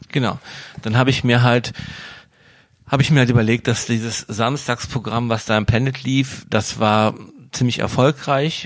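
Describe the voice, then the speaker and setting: A man talks at medium pitch in a monotone, flat way at a moderate pace, with long, frequent pauses. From Wuppertal, western Germany. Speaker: DJ and event promoter. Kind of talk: casual interview.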